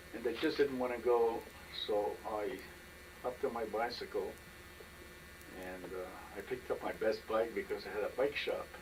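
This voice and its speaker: A man at a moderate pace with long, frequent pauses, over noticeable background noise. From Poland. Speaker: Holocaust survivor. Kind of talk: oral history interview answer.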